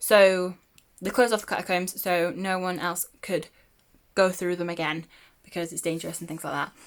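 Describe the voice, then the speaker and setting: A woman's fairly low voice at a fairly quick pace, with fairly even intonation, on a very clean recording with a silent background. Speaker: book vlogger. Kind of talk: casual chat. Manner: hesitant, many fillers.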